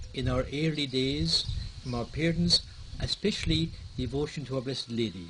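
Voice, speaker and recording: Speaking with an Irish accent, a man keeps a moderate pace. His intonation is lively. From Ireland. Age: 70s. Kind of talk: personal life story interview.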